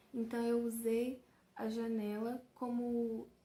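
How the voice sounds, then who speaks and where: The pace of this woman's speech is very slow. She talks at a fairly high pitch. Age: 20s. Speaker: journalism student and audiovisual artist. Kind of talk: casual talk to camera about her art.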